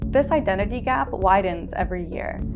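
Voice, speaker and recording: A woman with an American accent speaks over music in the background. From United States. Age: 20s. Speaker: English teacher. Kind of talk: prepared webinar talk.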